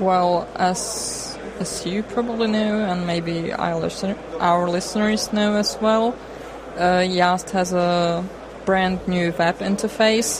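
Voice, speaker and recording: The voice moves at a very slow pace with fairly even intonation, amid audible room echo and noticeable background noise. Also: woman, medium pitch for a woman. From Czech Republic, Prague. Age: young. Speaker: software developer. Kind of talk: interview.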